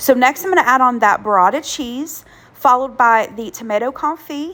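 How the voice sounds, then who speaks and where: A woman is talking while noticeable noise fills the background. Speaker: home cook, cooking channel host. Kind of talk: casual cooking voiceover.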